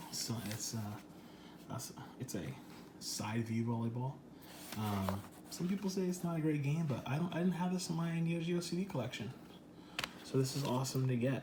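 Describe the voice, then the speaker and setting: A man speaks quietly with long, frequent pauses over noticeable background noise. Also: fairly high pitch for a man, lively intonation, moderate pace. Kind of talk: casual unboxing talk to camera. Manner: lowered, quiet voice.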